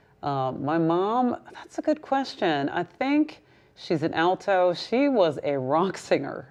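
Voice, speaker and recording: Moving at a very slow pace, a woman speaks with very wide pitch swings. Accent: slight New York. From US West Coast, Berkeley, California. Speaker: singer-songwriter. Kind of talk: interview.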